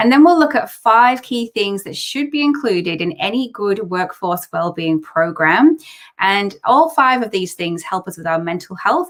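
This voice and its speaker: A woman at medium pitch talks at a moderate pace with hardly any pauses. Her pitch swings very widely, and her loudness swings a lot too. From northern England, Teesside. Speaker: wellbeing company co-founder and speaker. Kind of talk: presentation. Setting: online live event.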